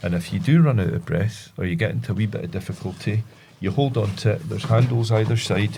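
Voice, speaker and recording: A man with a Scottish accent speaks at a fairly quick pace and a fairly low pitch. His tone is dark and mellow, with vocal fry. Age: 50s. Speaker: reservoir ranger. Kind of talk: podcast interview. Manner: halting.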